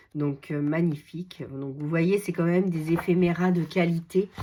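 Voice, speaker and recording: A woman's voice sits at a fairly low pitch with ordinary pitch variation and a dark, mellow tone. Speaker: scrapbooking YouTuber. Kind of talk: casual product show-and-tell. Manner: hesitant, many fillers.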